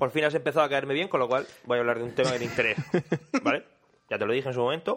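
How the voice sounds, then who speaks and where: Speaking at a medium pitch, a man talks at a very fast pace broken by long, frequent pauses. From Murcia, Spain. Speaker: podcast co-host. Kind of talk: casual chat. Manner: animated.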